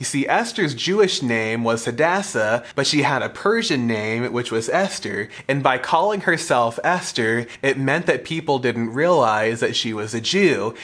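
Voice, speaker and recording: Here is a man with an unremarkable speaking voice and lively intonation. He goes at a fairly slow pace with hardly any pauses. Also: medium pitch for a man. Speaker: youth pastor and podcast host. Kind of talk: Bible teaching podcast, with scripture read aloud. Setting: studio podcast recording. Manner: formal, measured reading of scripture in a steady cadence; explanatory, earnest.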